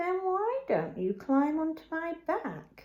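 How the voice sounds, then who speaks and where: This is a put-on character voice from a woman with an extremely high pitch. She talks at a fairly slow pace. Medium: read story. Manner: smooth, wheedling.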